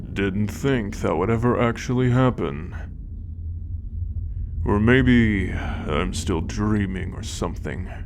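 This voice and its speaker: Using a gruff, put-on character voice pitched fairly low, a man talks at a fairly slow pace with long, frequent pauses over clear background noise. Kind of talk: fantasy ASMR roleplay. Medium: solo performance. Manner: gruff, sardonic, profane.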